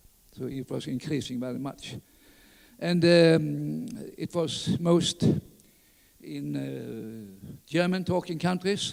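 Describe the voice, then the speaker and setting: A man talks in a Skåne accent at a very slow pace. Long pauses come often. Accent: Swedish (Skåne). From southern Sweden, Skåne. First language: Swedish (Skåne dialect). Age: 80s+. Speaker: orienteering pioneer. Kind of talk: conference talk. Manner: halting, many fillers.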